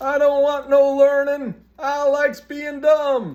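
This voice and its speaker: A put-on character voice, high in pitch, speaks at a fairly slow pace. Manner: dumb, simple.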